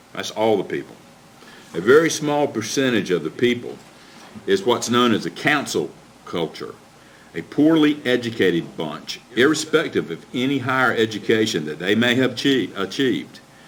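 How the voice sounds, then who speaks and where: Lively intonation comes through noticeable background noise. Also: man, medium pitch for a man, moderate pace. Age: 60s. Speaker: county commissioner. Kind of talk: public meeting speech, partly reading a prepared statement. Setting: county commission meeting. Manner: formal.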